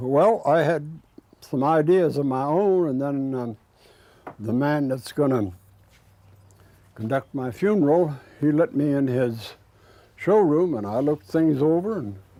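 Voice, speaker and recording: Slow-paced with long, frequent pauses, a man speaks in a fairly high pitch with a dark, mellow tone and lively intonation. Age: 90s. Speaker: retired craftsman preparing own funeral. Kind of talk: documentary interview. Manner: halting.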